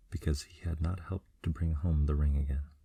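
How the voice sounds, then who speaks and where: A man's soft-spoken, somewhat breathy voice, very deep and low, dark and mellow, at a moderate pace with fairly even intonation. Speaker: ASMR storyteller. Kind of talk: sleep story.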